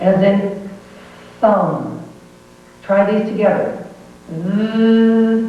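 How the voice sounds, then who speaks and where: With a General American accent, a woman speaks at a very slow pace in a flat, monotone intonation, leaving long, frequent pauses over noticeable background noise. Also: medium pitch for a woman. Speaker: pronunciation teacher. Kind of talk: pronunciation lesson. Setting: home VHS recording. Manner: slow, deliberate.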